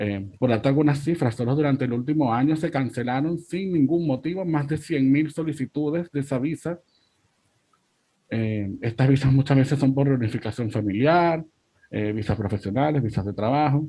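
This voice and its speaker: A dark, mellow, somewhat breathy voice in a Venezuelan accent with ordinary pitch variation. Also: man, fairly high pitch for a man, moderate pace. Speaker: migrant rights activist. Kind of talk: panel discussion.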